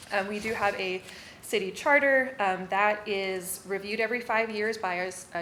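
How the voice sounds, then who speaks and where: Noticeable background noise is present as a woman talks. Her pitch is medium, and it varies in an ordinary way. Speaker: city secretary giving staff training. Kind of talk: training presentation. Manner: fast.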